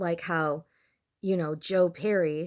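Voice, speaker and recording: A woman at a fairly slow pace, with ordinary pitch variation, in a very clean recording with a silent background. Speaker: YouTuber. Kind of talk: casual vlog talk. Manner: filler-heavy, many ums and likes.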